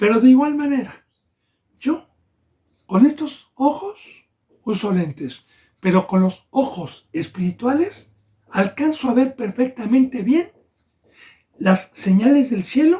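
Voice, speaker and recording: Very slowly and with long, frequent pauses, a man speaks at an extremely high pitch with very wide swings and a dark, mellow tone. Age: 60s. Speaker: pastor. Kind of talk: sermon.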